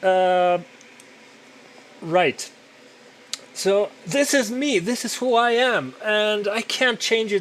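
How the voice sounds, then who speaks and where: A loud man's voice over noticeable background noise. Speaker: podcaster and digital artist. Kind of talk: casual monologue while working. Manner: halting with repetitions.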